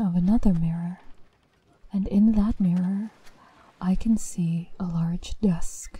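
A woman speaks fairly slowly at a medium pitch. Her tone is dark and mellow, and somewhat breathy. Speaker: voice actor narrator. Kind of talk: scripted horror story narration, creepypasta read aloud. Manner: hushed, slow, eerie, building suspense with deliberate pauses.

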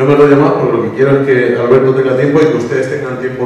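A man is speaking. Strong room echo surrounds his voice. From Spain. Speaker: event organizer and moderator. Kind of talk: event moderation. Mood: warm, lightly humorous. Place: hall.

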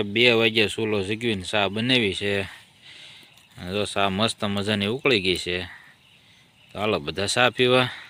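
Fairly low in pitch, this man's voice has a bright, sharp tone. His intonation stays fairly even. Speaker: farmer and vlogger. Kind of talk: casual vlog narration. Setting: outdoors on a farm at night.

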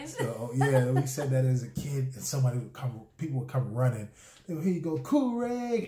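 A man at a moderate pace, with audible room echo. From Charleston, South Carolina. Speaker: husband explaining dialect. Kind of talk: casual conversation to camera. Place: home room. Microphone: phone near.

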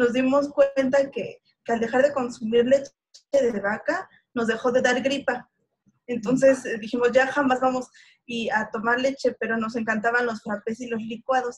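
This woman speaks in a high voice with monotone, flat intonation. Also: moderate pace. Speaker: fan, viewer; interview guest. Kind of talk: interview answer. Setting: video call. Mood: cheerful, smiling. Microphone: video call.

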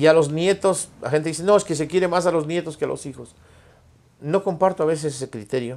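A man's normal speaking voice, fairly high in pitch, with ordinary pitch variation and a fairly quick pace. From Ecuador, Loja province; Ecuador. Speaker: singer; podcast guest. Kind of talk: casual interview. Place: studio. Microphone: lapel.

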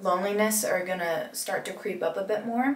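There is audible room echo as a woman speaks at a moderate pace with fairly even intonation. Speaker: music student vlogger. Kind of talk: casual vlog chat. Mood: relaxed, confiding, a bit sleepy. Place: bathroom. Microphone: camera far.

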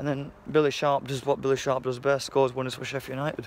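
A man talks over light background noise. The sound is dry, with no echo. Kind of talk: casual vlog chat, match commentary. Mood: happy after a win. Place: street. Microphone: phone near.

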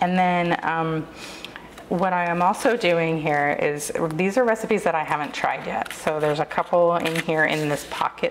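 A woman speaks at a fairly slow pace against noticeable background noise. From US South. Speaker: lifestyle YouTuber. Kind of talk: tutorial. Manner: casual, filler-heavy.

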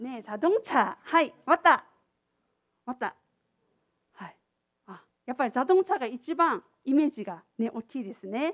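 With a Korean accent, a woman speaks at a high pitch and a fairly slow pace, her pitch swinging very widely and her loudness shifting a lot, with long, frequent pauses in a dry, close sound with no echo. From South Korea, Busan. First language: Korean (speaking Japanese). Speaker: international exchange coordinator giving a lecture. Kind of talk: lecture. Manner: casual, filler-heavy.

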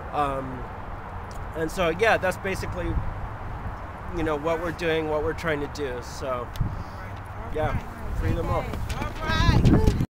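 Dry sound with no echo from a man, with noticeable background noise. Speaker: prison abolition activist. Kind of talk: protest speech. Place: street. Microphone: phone near.

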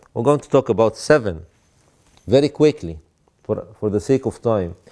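A man's dark, mellow tone over a quiet background. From Egypt. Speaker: bishop teaching a theology class. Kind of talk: lecture. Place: church.

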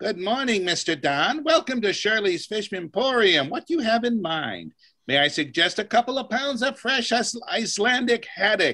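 At a moderate pace, a man performs a put-on character voice pitched high. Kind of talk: formal shopkeeper patter. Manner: overly polite, salesy.

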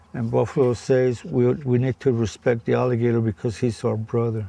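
With an American accent, a man talks at a medium pitch and moderate pace with ordinary pitch variation, the sound dry with no echo but with noticeable background noise. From Florida Everglades; Florida. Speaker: tour guide. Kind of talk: casual chat. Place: boat.

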